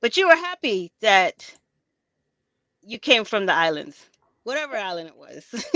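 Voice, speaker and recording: The tone is bright and sharp, with very wide pitch swings and big swings in loudness. The pace is moderate with long, frequent pauses, and the sound is dry and close with no echo. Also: woman, fairly high pitch for a woman. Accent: American. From US, South Florida (West Indian community). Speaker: podcast guest. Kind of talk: casual conversational interview.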